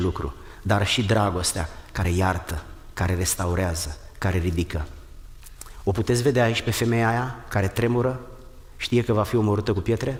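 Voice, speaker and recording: At a fairly quick pace, a man with a fairly low, somewhat breathy voice speaks with ordinary pitch variation. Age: 60s. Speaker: pastor. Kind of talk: sermon.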